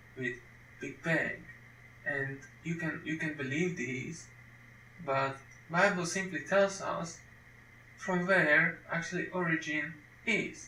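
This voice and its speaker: A man at a very slow pace with ordinary pitch variation, amid noticeable background noise and audible room echo. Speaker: Bible teacher. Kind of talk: lecture. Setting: home recording at computer. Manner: halting, with frequent repetitions.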